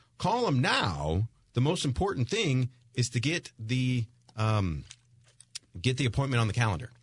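A man's medium-pitched, somewhat breathy, upbeat voice at a moderate pace, with very even loudness, very wide pitch swings and long, frequent pauses. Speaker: radio host. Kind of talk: radio pitchman, urging listeners to call the number and book an appointment. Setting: radio studio. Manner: upbeat, salesy, repeating the phone number.

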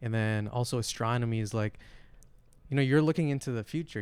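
A normal speaking voice in an American accent, fairly quick in pace, with fairly even intonation. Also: man. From Flint, Michigan, US. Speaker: podcast guest. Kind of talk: casual chat.

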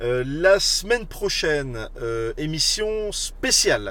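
A man's voice comes with audible room echo. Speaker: podcast host. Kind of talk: casual interview. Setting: in a car, live on social media.

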